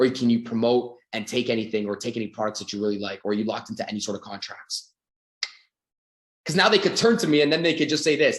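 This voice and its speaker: A man at a very fast pace with an animated tone. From Canada. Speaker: sales coach. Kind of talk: sales training seminar. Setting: video call.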